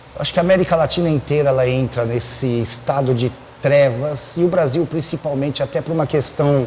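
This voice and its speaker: A man with a fairly high pitch at a fairly quick pace, over noticeable background noise. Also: ordinary pitch variation. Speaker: podcast host. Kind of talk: casual chat.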